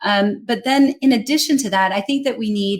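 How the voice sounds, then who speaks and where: A woman with an American accent sounds somewhat breathy. She keeps a moderate pace with ordinary pitch variation. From United States. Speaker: global English communication trainer and speaker. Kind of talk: interview conversation.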